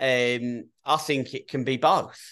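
A man's medium-pitched, flat, monotone voice with an English accent, very slow delivery, and a quiet background. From England. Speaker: youth soccer coach. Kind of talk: casual chat.

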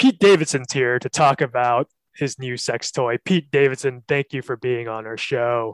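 A plain, everyday voice with ordinary pitch variation speaks at a moderate pace. The sound is dry and close with no echo, a very clean recording with a silent background. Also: man, medium pitch for a man. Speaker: podcast host. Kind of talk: casual comedy banter.

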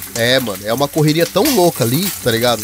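A man speaks at a medium pitch and a fairly quick pace. Noticeable background noise runs underneath. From Paraná, southern Brazil. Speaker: podcaster, former factory worker in Japan. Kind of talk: casual chat. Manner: animated, slangy.

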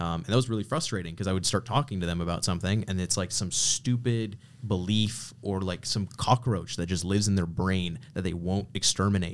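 A man's unremarkable speaking voice, fairly low in pitch, at a fairly quick pace with hardly any pauses and ordinary pitch variation, on a very clean recording with a silent background. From Canada. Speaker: podcast guest, branding entrepreneur. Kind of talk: casual chat. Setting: studio.

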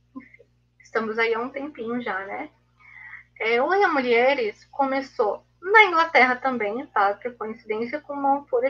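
A woman speaks in a high, raised, projected voice with a bright, sharp tone. Her pace is fairly slow. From Blumenau, Santa Catarina, Brazil. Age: 20s. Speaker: literature reading-group mediator. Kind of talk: live video interview.

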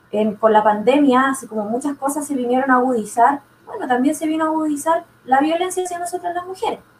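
Noticeable background noise sits behind a woman who talks very fast with a high pitch and lively intonation. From southern Chile. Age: 20s. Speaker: nursing student and political candidate. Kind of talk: panel discussion.

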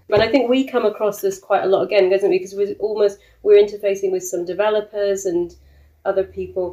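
A woman's medium-pitched, monotone, flat delivery at a very fast pace. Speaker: co-housing group member. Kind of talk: interview.

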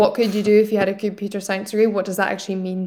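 In a Scottish accent, a woman speaks very fast at a medium pitch. Her intonation is monotone and flat. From Scotland. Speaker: general manager of a tech school. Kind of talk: interview conversation.

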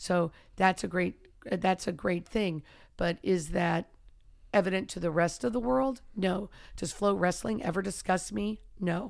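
A woman talks in a plain, everyday voice at a medium pitch with ordinary pitch variation. Her fairly slow pace is captured on a very clean recording with a silent background. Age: 50s. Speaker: wrestling and MMA coach. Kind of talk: casual chat.

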